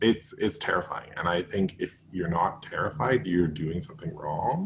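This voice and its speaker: A somewhat breathy man with a Canadian accent at a moderate pace, his pitch swinging very widely. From Alberta, Canada. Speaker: graduate student. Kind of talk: panel discussion.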